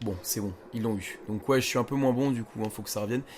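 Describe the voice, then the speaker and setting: The voice belongs to a man with medium pitch. His pitch variation is ordinary. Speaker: gaming youtuber. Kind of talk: gameplay commentary. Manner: casual, hesitant with fillers; speaking quietly.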